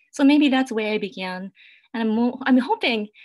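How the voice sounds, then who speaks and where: The recording is very clean, with a silent background. The speaker uses lively intonation in a Japanese accent. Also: woman. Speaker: poet. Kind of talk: panel discussion. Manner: halting, many fillers.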